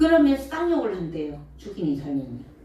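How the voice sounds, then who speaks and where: In a room with audible echo, a woman with a high pitch speaks in an animated tone at a fairly slow pace, her pitch swinging very widely. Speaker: Buddhist monk giving dharma talk. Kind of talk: dharma talk to audience.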